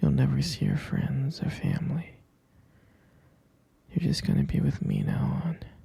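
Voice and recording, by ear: A man uses a put-on character voice with very wide pitch swings and a dark, mellow tone. It has a husky, rough edge and vocal fry, at a fairly slow pace. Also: medium pitch for a man.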